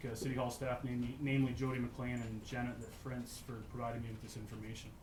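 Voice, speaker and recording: A man talks very fast with hardly any pauses, his medium pitch flat and monotone. Noticeable background noise and audible room echo fill the recording. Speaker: local resident speaking at public hearing. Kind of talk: public hearing statement. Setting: council chamber public hearing. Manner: hesitant, many fillers.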